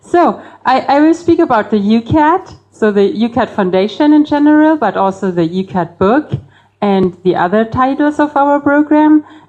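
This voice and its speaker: This woman talks at a moderate pace in a high voice, her pitch swinging very widely while her loudness stays very even. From Bavaria, Germany. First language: German. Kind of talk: public talk. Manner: hesitant, many fillers.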